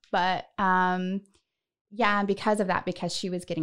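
A woman speaks at a fairly quick pace with an American accent. The recording is very clean, with a silent background. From Northern California. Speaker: podcast host. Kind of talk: casual chat. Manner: animated.

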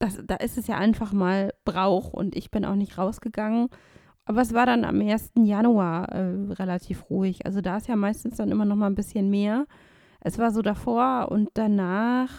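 A woman speaks at medium pitch with a dark, mellow tone. Her pace is moderate, and the recording is very clean with a silent background. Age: 30s. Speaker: counselor for blind and visually impaired people. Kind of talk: casual chat.

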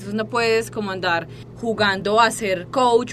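A woman speaks at a fairly slow pace, her medium pitch carrying lively intonation, with noticeable background noise behind her. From Colombia, Medellín. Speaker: fitness student and psychopedagogue. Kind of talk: interview. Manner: halting, many repetitions and fillers.

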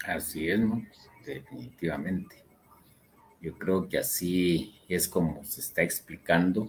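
A man with a very deep, low pitch speaks at a very slow pace, leaving long, frequent pauses. His loudness swings widely, and vocal fry runs through his voice. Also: ordinary pitch variation. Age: old. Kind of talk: religious teaching talk.

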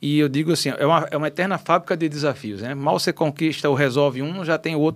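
Here is an unremarkable speaking voice from a man at medium pitch. He keeps a moderate pace. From Natal, Rio Grande do Norte, Brazil (childhood in Rio de Janeiro). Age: 50s. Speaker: radio station director and businessman. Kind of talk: podcast interview.

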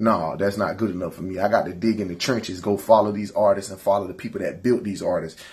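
Very fast and with hardly any pauses, a man speaks in a fairly low, somewhat breathy voice with fairly even intonation. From US South, rural north Florida. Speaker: rapper. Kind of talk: casual interview.

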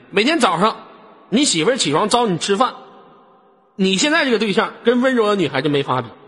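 A man's high voice at a fairly quick pace, with very wide pitch swings, long frequent pauses, and noticeable background noise. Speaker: live voice-chat room host. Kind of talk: live call-in chat. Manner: animated.

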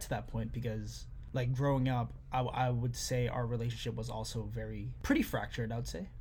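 A man rushes along at a very fast pace with hardly any pauses, and audible room echo fills the recording. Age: 20s. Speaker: podcast guest sharing personal story. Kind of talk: casual personal conversation.

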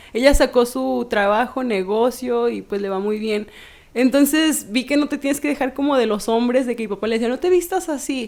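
Her voice sits at a high pitch with ordinary pitch variation. The woman talks at a moderate pace. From Mexico, Jalpa. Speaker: model and feminist activist. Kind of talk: casual interview.

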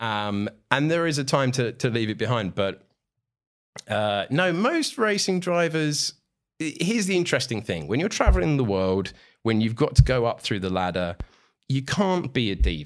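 Very wide pitch swings mark this man's medium-pitched voice with a British accent. The recording is very clean, with a silent background. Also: moderate pace. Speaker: motorsport commentator. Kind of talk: casual chat. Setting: studio.

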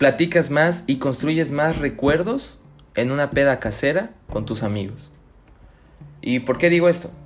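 Speaking fairly slowly with an animated tone and lively intonation, a man with a Chiapas Mexican accent has a fairly high voice. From Mexico, Chiapas (Tuxtla Gutiérrez). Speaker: podcast host. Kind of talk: casual monologue. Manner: animated, laughing.

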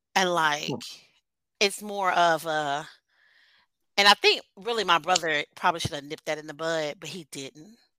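A woman's bright, sharp voice with big swings in loudness and long, frequent pauses, in a dry, close sound with no echo and a very clean, silent background. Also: fairly low pitch for a woman, ordinary pitch variation, moderate pace. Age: 40s. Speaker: teacher. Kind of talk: casual chat.

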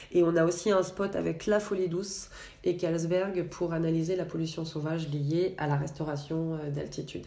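A woman talks at a moderate pace in a fairly low voice with a dark, mellow tone. Her intonation stays monotone and flat, and the room echo is audible. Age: 40s. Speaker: environmental association program manager. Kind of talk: interview.

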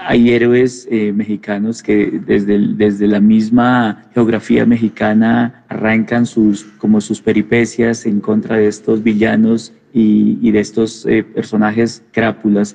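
A man with a medium-pitched, dark, mellow tone speaks very slowly in a flat monotone, keeping his loudness very even and hardly pausing at all. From Colombia, Nariño then Bogotá. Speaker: comics writer. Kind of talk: reflective interview monologue. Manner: halting, with many repetitions.

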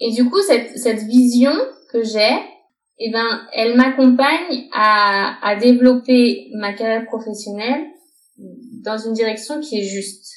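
Amid audible room echo, a woman talks very slowly at a fairly high pitch with ordinary pitch variation and long, frequent pauses. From France. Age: 30s. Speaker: health coach and yoga teacher. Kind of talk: interview.

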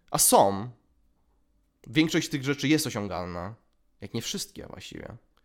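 The recording is very clean, with a silent background. Speech comes at a fairly slow pace with long, frequent pauses, big swings in loudness and very wide pitch swings. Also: man, medium pitch for a man. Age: 20s. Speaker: podcast host. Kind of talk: solo monologue. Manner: halting.

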